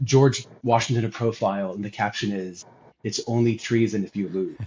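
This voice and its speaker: A man at medium pitch sounds somewhat breathy. He keeps a moderate pace and fairly even intonation. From US South. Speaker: guest on religious podcast. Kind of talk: casual chat.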